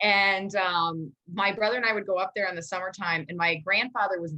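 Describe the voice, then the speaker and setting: A woman with an American accent, medium pitch, a bright, sharp tone, ordinary pitch variation and a fairly quick pace. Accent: Minnesota accent, slight, trained down. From Minnesota, Maple Grove. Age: 40s. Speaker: news correspondent. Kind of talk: casual interview.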